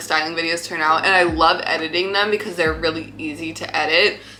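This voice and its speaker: A woman with an American accent talks at a fairly quick pace in a fairly low pitch. Noticeable background noise can be heard. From US South, Fayetteville area, military family. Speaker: YouTuber, fashion content creator. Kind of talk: casual Q&A chat. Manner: casual, filler-heavy.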